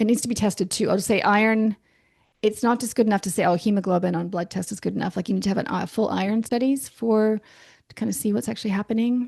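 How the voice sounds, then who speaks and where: The woman's voice is fairly high and somewhat breathy. She talks very fast with fairly even intonation. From Canada. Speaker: naturopathic doctor. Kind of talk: podcast interview. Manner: hesitant, many restarts.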